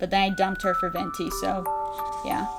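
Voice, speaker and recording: A woman talks at a medium pitch. Music plays in the background. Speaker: art channel host. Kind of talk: casual talk to camera.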